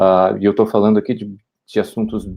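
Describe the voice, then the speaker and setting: A man speaks at a fairly low pitch with a Brazilian accent. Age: 30s. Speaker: political candidate. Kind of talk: candidate self-introduction. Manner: halting, many repetitions and fillers.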